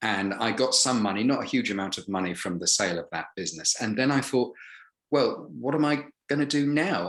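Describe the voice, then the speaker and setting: A man speaks with an English accent and lively intonation. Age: 60s. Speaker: retired businessman, actor and voiceover artist. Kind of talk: casual interview chat.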